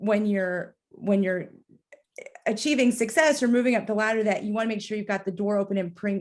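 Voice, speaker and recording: Her medium-pitched voice carries an American accent, and the woman's intonation stays fairly even. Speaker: podcast host. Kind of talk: interview.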